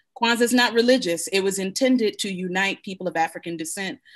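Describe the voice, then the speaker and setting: In a quiet background, a woman with an American accent speaks at a medium pitch with ordinary pitch variation. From US, Buffalo, New York; New York. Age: 40s. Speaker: Kwanzaa practitioner; guest. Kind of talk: panel discussion. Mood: warm, earnest teaching. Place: home room. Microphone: video call.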